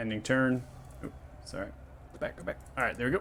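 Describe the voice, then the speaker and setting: Fairly even intonation marks this man's voice, which sits at a medium pitch. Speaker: dungeon master. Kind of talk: tabletop game narration. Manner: fast.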